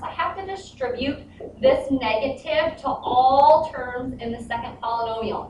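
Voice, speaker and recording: A woman's voice rises and falls in very wide pitch swings. Audible room echo and noticeable background noise fill the recording. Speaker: math teacher. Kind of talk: tutorial.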